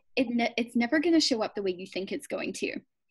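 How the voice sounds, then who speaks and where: A woman speaks at a high pitch with lively intonation. Her tone is intense and energetic. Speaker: business coach and workshop facilitator. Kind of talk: interview on a video call. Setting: video call. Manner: intense, energetic.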